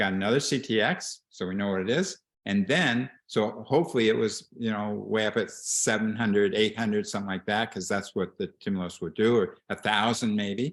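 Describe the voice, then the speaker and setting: This is a man with an unremarkable speaking voice, fairly low in pitch and with ordinary pitch variation. He keeps a moderate pace with hardly any pauses against a quiet background. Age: 60s. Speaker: bone health doctor. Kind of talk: expert Q&A on video call.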